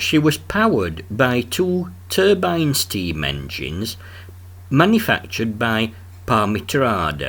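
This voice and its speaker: In a strong Yorkshire accent, a man speaks very slowly at a fairly low pitch with vocal fry. His pitch swings very widely. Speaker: travel vlogger. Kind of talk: documentary travel narration.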